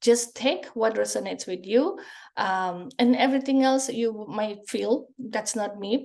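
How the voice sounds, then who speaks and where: A woman with a fairly high pitch speaks fairly slowly in a Spanish accent. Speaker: psychic energy healer. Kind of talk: group healing session talk. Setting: video call. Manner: halting.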